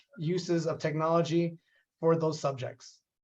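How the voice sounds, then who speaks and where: A man speaks with a high-pitched voice. His pace is moderate. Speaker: nonprofit executive director. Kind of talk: webinar introduction.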